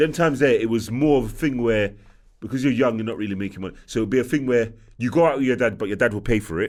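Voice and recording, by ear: Speaking fast at a medium pitch, a man with a slightly mellow tone shows ordinary pitch variation in a very clean recording with a silent background.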